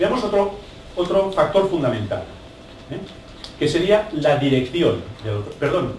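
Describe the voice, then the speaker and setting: Amid noticeable background noise and audible room echo, a man talks at a fairly slow pace with lively intonation. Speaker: photography instructor. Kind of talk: lecture.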